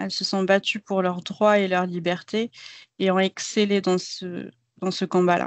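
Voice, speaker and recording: Her pace is fairly slow and her pitch is medium. The woman's intonation stays monotone and flat. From Algeria, Béjaïa. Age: 30s. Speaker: IT project manager. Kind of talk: podcast interview.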